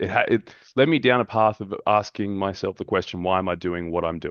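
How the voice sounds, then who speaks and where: In an Australian accent, a man speaks at a moderate pace. His pitch is very deep and low. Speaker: men's mental health group facilitator. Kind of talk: podcast interview.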